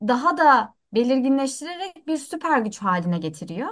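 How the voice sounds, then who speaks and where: The voice swings very widely in pitch while holding a moderate pace. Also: woman. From Antakya, Turkey. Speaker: content creator and editor. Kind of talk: casual chat. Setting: remote call.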